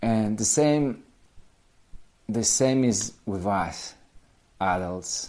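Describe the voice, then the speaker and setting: A dark, mellow tone at a very slow pace. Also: man. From Poland. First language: Polish. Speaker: language teacher. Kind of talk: casual talk to camera. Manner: halting, self-correcting.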